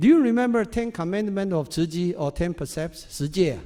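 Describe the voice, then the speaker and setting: On a very clean recording with a silent background, a man with a Chinese accent speaks in a high, dark, mellow voice with lively intonation. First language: Mandarin. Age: 60s. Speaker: volunteer speaker. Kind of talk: talk to audience. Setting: stage with audience.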